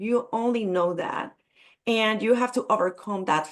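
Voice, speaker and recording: A woman talks with a Spanish accent. Her pitch varies in an ordinary way. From Puerto Rico. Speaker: business coach. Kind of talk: networking event self-introduction. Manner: halting.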